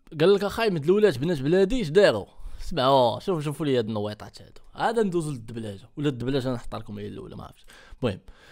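Against a quiet background, an animated man speaks at a very fast pace in a fairly high pitch, with very wide pitch swings and big swings in loudness. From Morocco. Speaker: YouTuber reacting to videos. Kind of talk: reaction video commentary. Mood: mocking, animated. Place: home room. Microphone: studio mic.

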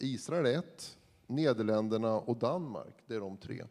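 With ordinary pitch variation, a man talks while the background stays quiet. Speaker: university vice-chancellor, panel moderator; panel moderator. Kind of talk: moderated panel discussion. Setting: stage with audience. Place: hall. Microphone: handheld.

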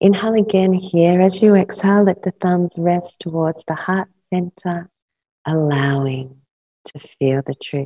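The voice is dark, mellow and somewhat breathy, moving at a fairly slow pace with ordinary pitch variation against a quiet background. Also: woman, fairly low pitch for a woman. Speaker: yoga nidra teacher. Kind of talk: guided meditation; guided meditation instruction. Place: studio.

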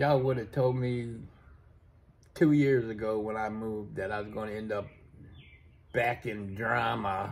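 Using fairly even intonation, a man with a fairly low pitch talks at a moderate pace with long, frequent pauses. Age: 40s. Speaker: vlogger. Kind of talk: casual monologue. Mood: relaxed, reflective. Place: home room. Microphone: phone near.

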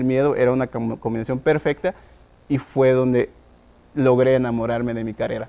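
A man speaks in a dark, mellow tone at a fairly slow pace. His intonation is monotone and flat. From Guatemala, Huehuetenango highlands; Guatemala. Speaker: tech entrepreneur; guest. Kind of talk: interview. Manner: halting, many fillers. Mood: reflective, storytelling. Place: studio. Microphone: lapel.

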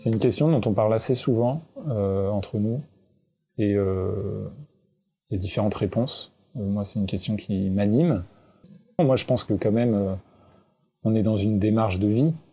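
A man at a moderate pace with ordinary pitch variation and long, frequent pauses. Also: fairly low pitch for a man. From France (Normandy and La Rochelle). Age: 20s. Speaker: climate activist and author. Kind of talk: interview. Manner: hesitant, with frequent fillers.

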